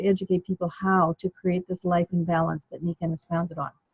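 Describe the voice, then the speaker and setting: Somewhat breathy, a woman speaks in a Canadian accent. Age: 70s. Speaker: network marketing consultant. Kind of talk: business presentation. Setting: conference call.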